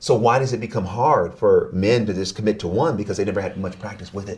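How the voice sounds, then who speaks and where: His voice comes out somewhat breathy. The man rushes along at a very fast pace. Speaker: relationship expert. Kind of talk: interview conversation.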